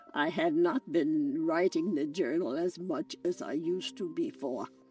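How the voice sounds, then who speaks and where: Music plays behind a woman speaking at a fairly slow pace. Her pitch swings very widely. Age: 80s+. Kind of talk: interview answer.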